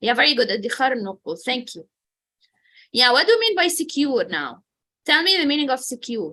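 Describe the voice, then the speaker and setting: Over a quiet background, a raised, projected voice with a bright, sharp tone moves at a moderate pace through very wide pitch swings and long, frequent pauses. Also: woman, high pitch for a woman. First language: Arabic. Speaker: English teacher. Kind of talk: online language class.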